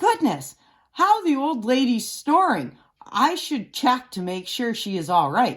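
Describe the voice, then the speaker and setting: A woman does a put-on character voice, high-pitched with very wide pitch swings. She goes at a fairly slow pace on a very clean recording with a silent background. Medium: read story.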